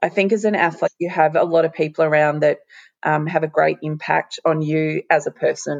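A woman with an Australian accent talks at a moderate pace in a very deep, low pitch. Her intonation stays fairly even, and the sound is dry and close with no echo. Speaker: former champion swimmer. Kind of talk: casual interview. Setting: at home, remote call.

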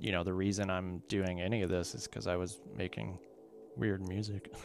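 Talking at a moderate pace with fairly even intonation, a man with an American accent and a very deep, low pitch comes through on a very clean recording with a silent background. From Kentucky, US. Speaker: visual artist and musician. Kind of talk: casual interview.

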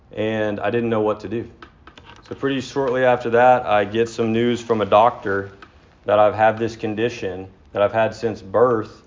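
There's noticeable background noise behind a man at a medium pitch. He speaks at a moderate pace in a flat monotone. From Texas, Dallas area. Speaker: AA speaker. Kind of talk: recovery testimony.

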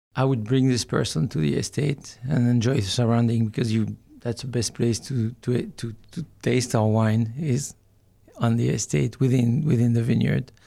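A man speaks with a slight French accent and a dark, mellow tone at a moderate pace. His pitch is medium, with ordinary variation. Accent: light French. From Burgundy, France. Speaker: winemaker. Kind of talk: interview. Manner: halting.

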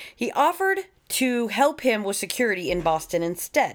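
In an American accent, the woman talks at a fairly high pitch. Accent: Southern twang, stronger after visiting home. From US South, Florida. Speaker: true crime podcast co-host. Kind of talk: casual chat.

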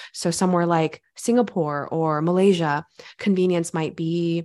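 Against a quiet background, a woman with an American accent speaks at a fairly low pitch with fairly even intonation. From California. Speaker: journalist and food writer. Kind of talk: interview.

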